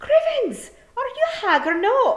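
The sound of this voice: A woman does a put-on character voice at an extremely high pitch, with big pitch swings and a fairly bright tone. She goes at a fairly slow pace, with audible room echo.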